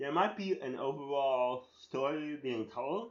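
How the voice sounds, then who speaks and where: A man talks with lively intonation. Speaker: spoken word artist and essay writer. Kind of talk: casual monologue. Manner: rambling with many fillers and restarts; unscripted, free-flowing.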